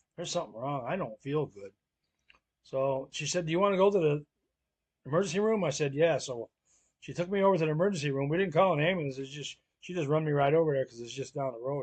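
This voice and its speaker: A man with an American accent speaks at a very fast pace with a fairly high, somewhat breathy voice. Long, frequent pauses break up his speech against a quiet background. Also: ordinary pitch variation, big swings in loudness. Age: 60s. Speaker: family lifestyle vlogger. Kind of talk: personal storytelling. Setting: at home. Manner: casual, filler-heavy.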